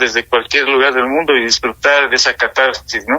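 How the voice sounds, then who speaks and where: This man's voice is fairly high-pitched with monotone, flat intonation. He speaks at a fairly quick pace. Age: 60s. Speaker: political and social analyst. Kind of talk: radio talk show discussion.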